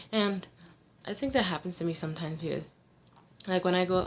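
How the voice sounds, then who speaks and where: This woman's voice sits fairly low in pitch, with ordinary pitch variation. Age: 20s. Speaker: vlogger with visual impairment. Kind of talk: personal vlog. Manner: hesitant, many fillers.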